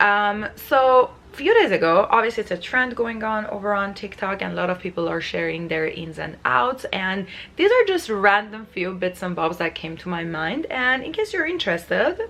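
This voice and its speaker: A woman with a non-native accent at medium pitch, lively intonation, moderate pace and hardly any pauses. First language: not English. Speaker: lifestyle vlogger. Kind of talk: casual vlog talk to camera. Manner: many filler words.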